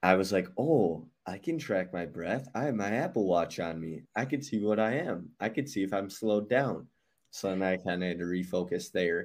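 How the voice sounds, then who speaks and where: With an unremarkable speaking voice, a man talks at a moderate pace, his fairly low pitch carried by lively intonation. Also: very clean recording, silent background. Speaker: podcast host. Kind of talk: casual interview.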